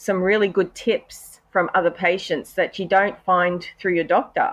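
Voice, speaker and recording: This woman talks at a fairly slow pace with an Australian accent. Her intonation is fairly even, and the background is quiet. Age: 40s. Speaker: patient health advocate, cancer survivor. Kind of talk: podcast interview. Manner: hesitant, many fillers.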